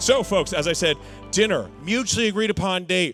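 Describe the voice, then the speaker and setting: A man with an American accent talks at a fairly quick pace in an upbeat tone, with music in the background. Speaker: professional benefit auctioneer. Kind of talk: live charity auction patter with jokes. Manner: upbeat, joking.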